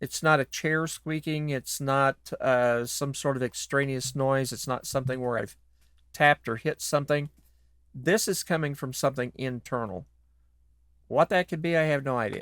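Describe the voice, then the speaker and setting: This man has an ordinary speaking voice, fairly high in pitch with ordinary pitch variation and a moderate pace. The sound is dry and close with no echo, in a very clean recording with a silent background. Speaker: voice actor. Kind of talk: casual talk to camera. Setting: studio.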